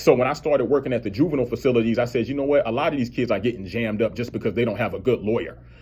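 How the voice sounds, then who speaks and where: Speaking with an American accent, a man's voice comes across somewhat breathy. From US South. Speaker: criminal defense attorney. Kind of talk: radio interview.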